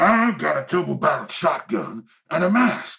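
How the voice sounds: A man puts on a character voice, pitched fairly high with big swings up and down. The tone is bright and sharp, with vocal fry, at a moderate pace.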